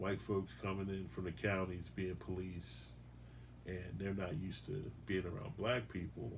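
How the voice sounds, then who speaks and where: A man with a very deep, low pitch and vocal fry speaks at a moderate pace with lively intonation, his voice carrying audible room echo. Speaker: police firearms instructor. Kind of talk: casual chat. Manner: loud.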